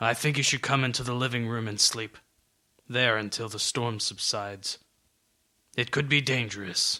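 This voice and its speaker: Putting on a gruff character voice, a man speaks at a moderate pace and medium pitch with fairly even intonation and long, frequent pauses. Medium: read story. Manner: curt, stern.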